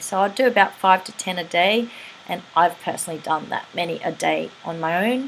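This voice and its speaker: A woman speaks in a plain, everyday voice. Her pitch is fairly low and her pace moderate. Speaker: teeth whitening practitioner and image consultant. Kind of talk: tutorial. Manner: casual and chatty.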